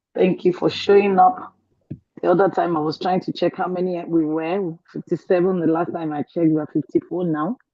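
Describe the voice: Speaking at a moderate pace, a woman with a fairly low pitch and a dark, mellow tone keeps a fairly even intonation in a dry, close sound with no echo.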